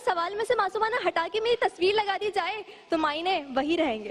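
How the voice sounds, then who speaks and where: Over noticeable background noise, a woman speaks in an animated, theatrical tone with ordinary pitch variation. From Karachi, Pakistan. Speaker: speech contestant. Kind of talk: humorous speech contest declamation. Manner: animated, theatrical, comedic delivery.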